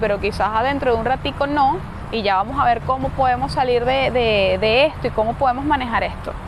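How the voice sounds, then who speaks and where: Noticeable background noise and audible room echo surround the recording. A woman speaks at a high pitch with fairly even intonation. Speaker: esoteric philosophy podcaster. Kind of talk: casual lecture. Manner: halting.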